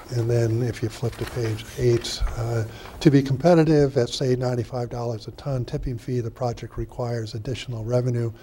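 Light background noise runs under a man speaking at a moderate pace. His tone is dark, mellow and somewhat breathy, his intonation a flat monotone. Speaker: board member giving report. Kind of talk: meeting report, partly reading. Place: meeting room.

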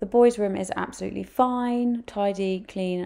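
With vocal fry and a dark, mellow tone, a woman speaks in fairly even intonation.

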